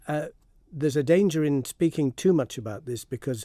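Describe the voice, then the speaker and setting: Speaking fairly quickly with a Manx accent, a man has a dark, mellow tone. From Isle of Man. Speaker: heritage campaigner and filmmaker. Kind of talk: radio phone-in interview.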